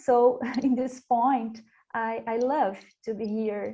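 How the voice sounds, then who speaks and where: With a Portuguese accent, a woman speaks in a somewhat breathy voice at a fairly high pitch. Her intonation is monotone and flat. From Brazil. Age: young. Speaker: panelist. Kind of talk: panel discussion. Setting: virtual conference. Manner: halting, hesitant.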